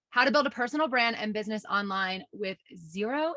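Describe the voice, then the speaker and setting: A woman with a New York accent, fairly high in pitch with ordinary variation, bright and sharp in tone, at a moderate pace, in a dry, close sound with no echo. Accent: New York American. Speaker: online business coach. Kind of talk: webinar presentation.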